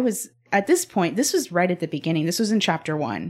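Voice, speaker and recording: A woman uses an ordinary speaking voice at a medium pitch. Her intonation is lively. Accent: American. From Texas, Spring near Houston. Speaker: podcast host. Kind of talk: interview conversation.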